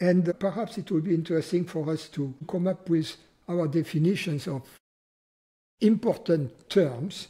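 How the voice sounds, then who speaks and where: A man's high-pitched voice, dark and mellow in tone, at a fairly slow pace with ordinary pitch variation, in a very clean recording over a silent background. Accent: French. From France. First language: French. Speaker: spiritual teacher. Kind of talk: philosophical conversation.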